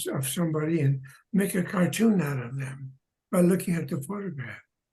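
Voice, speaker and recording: Lively intonation marks a man's high-pitched voice with a dark, mellow tone. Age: 90s. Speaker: retired animation artist. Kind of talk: interview. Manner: halting.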